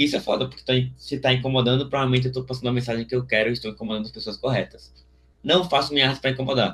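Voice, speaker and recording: A man at medium pitch speaks very fast with fairly even intonation. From Alagoas, Brazil. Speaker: visual artist. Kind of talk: interview answer. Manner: casual, slangy.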